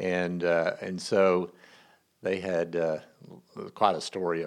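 A man speaks with an American accent in a very deep, low voice. His intonation stays monotone and flat. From Texas. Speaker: hospital chief operating officer and team chaplain. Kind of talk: casual interview.

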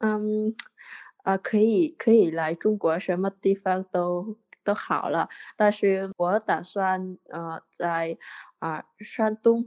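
Fairly even intonation carries a woman's very slow speech in a Vietnamese accent. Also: medium pitch for a woman. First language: Vietnamese (speaking Chinese). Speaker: podcast listener, Chinese learner. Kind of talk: casual interview chat. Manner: halting, many fillers and repetitions.

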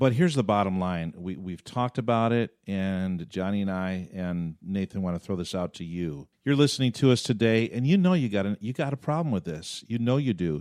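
A man with a plain, everyday voice speaks at a fairly low pitch and a fairly quick pace with lively intonation. The sound is dry and close with no echo, over a quiet background. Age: 50s. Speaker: pastor and podcast host. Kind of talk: casual chat. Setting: studio.

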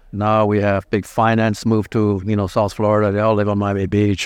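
A man with a German accent speaks at a fairly low pitch and a fairly quick pace. His intonation is monotone and flat against a quiet background. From Germany (Frankfurt). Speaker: plastic surgeon. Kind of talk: interview. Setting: convention hall, live event.

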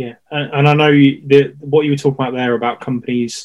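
The man's pitch sits in the medium range. He talks at a fairly quick pace with monotone, flat intonation. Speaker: podcast host. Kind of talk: interview conversation.

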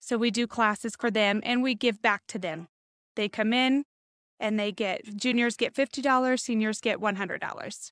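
A woman with an American accent and an ordinary speaking voice, fairly high in pitch with fairly even intonation at a moderate pace, in a very clean recording with a silent background and a dry, close sound with no echo. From Nevada, Las Vegas area. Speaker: credit union representative and chamber board member. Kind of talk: interview.

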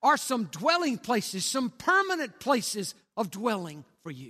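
Projecting his raised voice in an American accent, a man speaks fairly slowly at an extremely high pitch, with very wide pitch swings and a bright, sharp tone. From Texas, Cisco. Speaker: pastor. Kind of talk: sermon. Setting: church.

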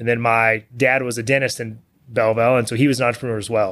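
A man with a Texan accent speaks at a medium pitch. His delivery is very fast, with monotone, flat intonation. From Texas, small town west of Houston. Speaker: CEO of a smoker and grill manufacturer. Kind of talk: podcast interview.

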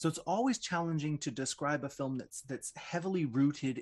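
Speaking at a moderate pace in a Canadian accent, a man with fairly high pitch and ordinary pitch variation is heard against a quiet background. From Toronto, Canada. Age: middle-aged. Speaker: audio describer and podcaster. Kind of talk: casual radio chat. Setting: basement home studio. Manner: halting, repeats words.

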